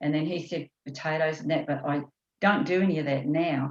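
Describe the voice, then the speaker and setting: A woman with a New Zealand accent speaks at a fairly quick pace. Her voice is very deep and low, with fairly even intonation. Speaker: course participant. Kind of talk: casual chat. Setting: video call.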